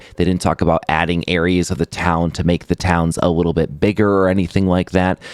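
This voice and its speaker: A quiet man with a very deep, low pitch, flat monotone intonation and very even loudness, talking at a fairly quick pace with hardly any pauses, in a dry, close sound with no echo. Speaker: gaming YouTuber. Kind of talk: video commentary. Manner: kept quiet.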